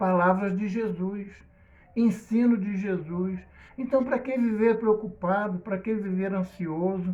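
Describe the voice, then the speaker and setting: There is audible room echo as a man speaks at a high pitch and a fairly slow pace. His pitch variation is ordinary. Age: 60s. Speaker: preacher. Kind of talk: sermon.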